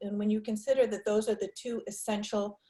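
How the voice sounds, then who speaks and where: A woman speaks in an American accent at a medium pitch. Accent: New York accent, slips out now and then. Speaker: marketing presenter. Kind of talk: webinar Q&A.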